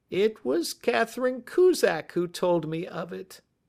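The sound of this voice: The man's pitch is high and his intonation lively. He talks at a fairly slow pace.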